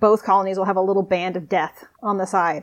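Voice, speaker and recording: The speech comes at a very fast pace. It is delivered with an American accent. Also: woman. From US Southwest. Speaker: marine biologist. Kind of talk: casual chat.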